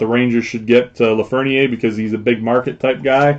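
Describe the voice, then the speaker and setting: A man speaks at a fairly quick pace in a medium pitch. His intonation is fairly even. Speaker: sports card breaker. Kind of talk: live card break stream. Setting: live stream with people in the room. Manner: loud.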